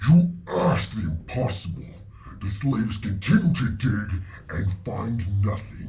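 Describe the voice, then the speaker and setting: Over light background noise, a man puts on a guttural character voice pitched fairly low, speaking at a moderate pace. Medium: actual play. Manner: broken grammar, terse.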